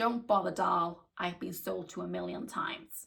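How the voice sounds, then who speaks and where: Using a raspy, put-on character voice, a woman speaks at a moderate pace with a fairly low pitch. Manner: dismissive, world-weary.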